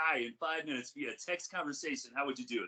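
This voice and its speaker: Loud and bright with a sharp tone, a man races along at a very fast pace, his pitch swinging very widely. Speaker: podcast co-host. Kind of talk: casual chat.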